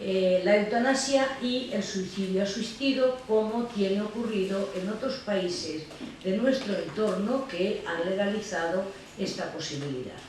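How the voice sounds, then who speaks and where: A woman's medium-pitched voice at a fairly slow pace, with ordinary pitch variation, noticeable background noise, and audible room echo. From Andalucía, Spain. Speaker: law philosophy professor, euthanasia advocate. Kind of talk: lecture.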